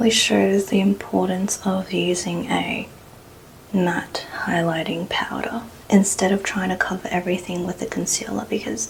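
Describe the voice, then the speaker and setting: Noticeable background noise sits behind a soft-spoken voice talking at a fairly slow pace. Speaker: makeup content creator. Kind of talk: ASMR makeup tutorial.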